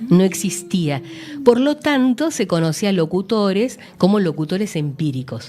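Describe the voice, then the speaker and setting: Here a woman speaks at a medium pitch with very wide pitch swings. Noticeable background noise is present. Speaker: radio announcer. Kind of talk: interview answer.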